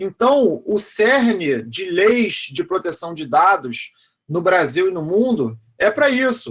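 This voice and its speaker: A man's high-pitched voice at a very slow pace, with very wide pitch swings. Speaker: law professor. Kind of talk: lecture. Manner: animated.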